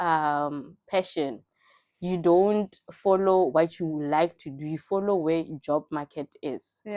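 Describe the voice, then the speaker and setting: A woman speaks with a fairly low pitch. Her intonation stays fairly even. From South Africa, Limpopo. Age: 20s. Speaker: entrepreneur and teacher. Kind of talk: interview, personal story.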